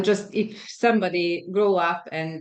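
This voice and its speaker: This woman talks at a very slow pace. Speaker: health and fitness coach and podcaster. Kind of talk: podcast host talk.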